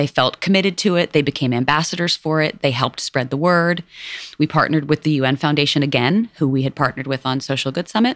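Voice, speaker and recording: In a New York accent, a voice races at a very fast pace with very even loudness, the sound dry and close with no echo. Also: woman, very deep, low pitch for a woman, ordinary pitch variation. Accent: New York American. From New York City, Lower East Side. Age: 40s. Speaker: nonprofit CEO. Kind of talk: interview. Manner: casual, filler-heavy.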